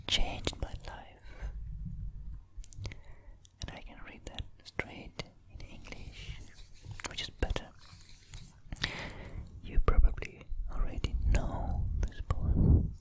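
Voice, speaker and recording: Whispering at a very slow pace, with long, frequent pauses, big swings in loudness and noticeable background noise. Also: man. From Italy. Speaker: poet and artist. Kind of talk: ASMR poetry reading. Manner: whispered, soft-spoken.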